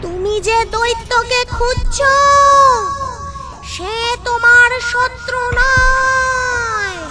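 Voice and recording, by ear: Over background music, a female-sounding cartoonish character voice speaks very slowly at an extremely high pitch.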